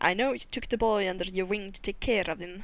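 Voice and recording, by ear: This is reading aloud in a natural voice, with ordinary pitch variation.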